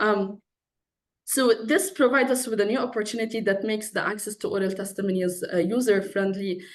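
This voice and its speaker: With an Arabic accent, a woman speaks at a moderate pace amid audible room echo. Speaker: PhD researcher in philosophy. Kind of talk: conference talk.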